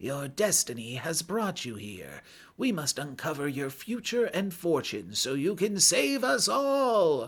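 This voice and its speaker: A man does a put-on character voice, high-pitched and raspy, with very wide pitch swings at a fairly slow pace. The recording is very clean with a silent background. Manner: mystical, prophetic.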